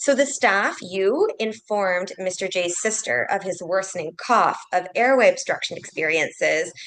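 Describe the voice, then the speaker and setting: A woman speaks at a moderate pace in a medium-pitched voice, with ordinary pitch variation and hardly any pauses. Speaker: clinical ethicist. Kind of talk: case presentation in a webinar. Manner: loud.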